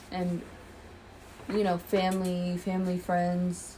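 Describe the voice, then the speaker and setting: A woman speaks with an American accent. Her pitch is fairly low. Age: 20s. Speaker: podcast co-host. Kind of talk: casual chat.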